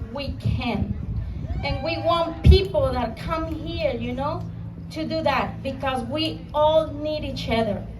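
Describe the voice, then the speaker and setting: In a Mexican accent, a woman speaks at a very slow pace, with audible room echo and noticeable background noise. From Mexico. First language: Spanish. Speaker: small business owner, immigrant. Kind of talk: rally speech.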